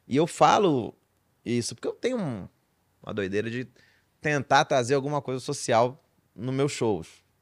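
Recorded very cleanly against a silent background, a man speaks at a medium pitch with ordinary pitch variation and long, frequent pauses. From Belém, Pará, Brazil. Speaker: stand-up comedian and writer. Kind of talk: casual podcast interview. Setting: studio. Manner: fast-talking, now tries to articulate more.

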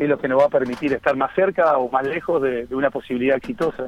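With a Uruguayan accent, a man speaks at a fairly quick pace in a fairly high pitch with ordinary pitch variation. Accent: Rioplatense Spanish (Uruguayan). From Uruguay, Las Piedras (Canelones). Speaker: football coach. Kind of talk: radio interview. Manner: halting, repeats words.

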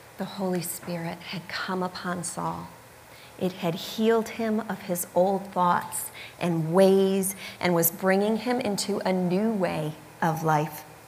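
A woman with an American accent at a medium pitch, very slow pace and fairly even intonation, with audible room echo and noticeable background noise. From US Midwest, Michigan. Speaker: preacher. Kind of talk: sermon.

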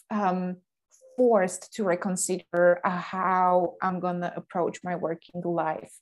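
A woman's medium-pitched voice with a Slovak accent, at a fairly slow pace. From Slovakia. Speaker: online business coach. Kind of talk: interview.

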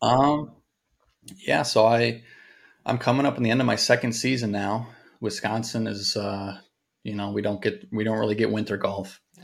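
A man with a fairly low pitch speaks at a moderate pace in a flat monotone, on a very clean recording with a silent background. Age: 20s. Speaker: driving range owner and golf instructor. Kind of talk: casual interview. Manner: composed; mature-sounding.

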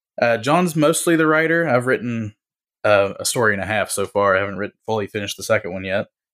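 In a very clean recording with a silent background, a man speaks in a normal speaking voice at medium pitch, fairly quickly and with ordinary pitch variation. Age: 30s. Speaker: podcast co-creator and postal worker. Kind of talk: casual chat.

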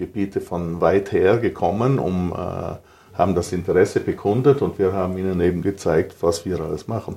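A man speaks with a South Tyrolean accent at a fairly slow pace. His fairly low voice has a dark, mellow tone and ordinary pitch variation. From South Tyrol, Italy. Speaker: ski resort operator and snowmaking entrepreneur. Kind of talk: interview. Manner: halting with frequent fillers.

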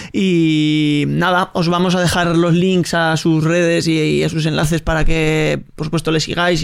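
His intonation stays monotone and flat. The man's pitch is fairly high. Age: 40s. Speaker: podcast host. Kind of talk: casual interview.

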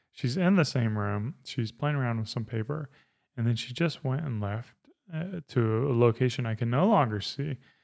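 Against a quiet background, a man with an American accent talks in a plain, everyday voice at medium pitch, moderate pace and lively intonation. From South Carolina. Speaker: podcast host and father. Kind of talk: casual chat. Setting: home studio.

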